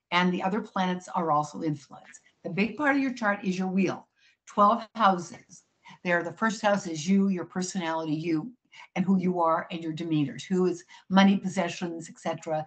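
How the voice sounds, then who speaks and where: This woman's voice sits at a medium pitch, somewhat breathy, with ordinary pitch variation. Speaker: psychic astrologer. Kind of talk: interview. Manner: fast.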